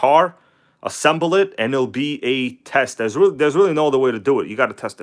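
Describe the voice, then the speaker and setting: A man with a relaxed tone and ordinary pitch variation on a very clean recording with a silent background. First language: not English. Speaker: RC hobby streamer. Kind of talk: live stream tutorial chat. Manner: casual, relaxed.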